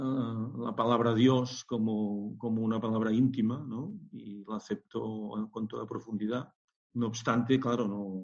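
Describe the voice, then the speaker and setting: A man talks at a medium pitch in a dark, mellow tone. His intonation is monotone and flat, and the pace is fairly slow. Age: 60s. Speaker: scientist entrepreneur and shamanic practitioner. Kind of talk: interview. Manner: halting.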